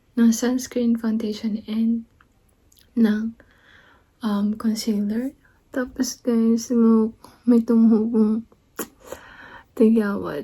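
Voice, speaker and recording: A soft-spoken woman talks very slowly in a somewhat breathy, fairly high voice with a dark, mellow tone and flat, monotone intonation. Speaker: vlogger. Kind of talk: casual vlog chat. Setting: at home, partner in meeting next room.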